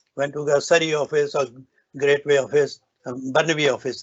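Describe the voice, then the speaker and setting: This man has a fairly high voice and speaks with a North Indian accent in a fairly even intonation. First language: Hindi or Punjabi. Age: 70s. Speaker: business owner giving a success talk. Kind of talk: motivational speech. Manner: halting, with restarts.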